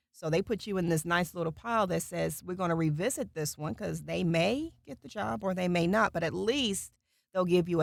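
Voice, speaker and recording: Talking at a fairly quick pace, a woman with a fairly low pitch shows vocal fry and lively intonation. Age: middle-aged. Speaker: voice actor. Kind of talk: casual chat. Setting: recording booth.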